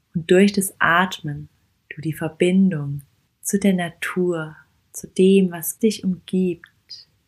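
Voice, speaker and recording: A woman at a medium pitch speaks at a very slow pace in a gentle, soothing tone that is somewhat breathy. Her intonation stays fairly even while her loudness swings widely. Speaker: podcast host and meditation guide. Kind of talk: guided walking meditation. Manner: slow, soft-spoken, calm; gentle, soothing, with long pauses.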